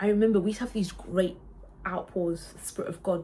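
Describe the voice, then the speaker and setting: Fairly quick and somewhat breathy, a woman's voice moves along. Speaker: worship singer and vlogger. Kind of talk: casual chat. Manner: halting.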